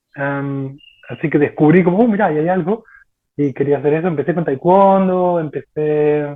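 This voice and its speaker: In a Rioplatense accent, a man speaks at a fairly high pitch and a fairly slow pace with fairly even intonation. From Argentina. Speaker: martial arts practitioner. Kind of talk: casual chat.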